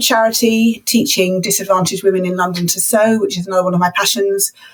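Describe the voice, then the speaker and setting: This woman's voice sits at a medium pitch and moves at a fairly quick pace. Her pitch varies in an ordinary way over noticeable background noise. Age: 60s. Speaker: retired teacher. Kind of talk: podcast interview.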